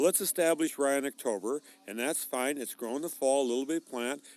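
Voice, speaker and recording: A man with an American accent and an unremarkable speaking voice talks at a fairly quick pace in a fairly high pitch with ordinary pitch variation, in a dry, close sound with no echo. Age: 60s. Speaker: farmer. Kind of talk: interview.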